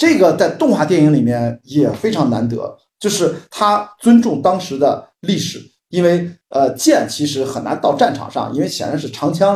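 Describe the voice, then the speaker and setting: A man speaks in an ordinary speaking voice, fairly high in pitch. His pace is moderate and his intonation lively. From Qingdao, Shandong, China. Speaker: film industry commentator. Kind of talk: casual chat. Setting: video call.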